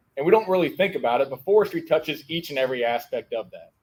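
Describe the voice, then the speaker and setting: A man speaks loudly. His pace is fairly quick. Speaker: forestry association advocate. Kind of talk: panel discussion.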